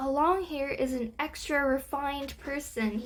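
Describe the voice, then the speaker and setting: A woman's squeaky, high-pitched put-on character voice at a moderate pace, over light background noise. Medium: read story. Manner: chatty, slangy.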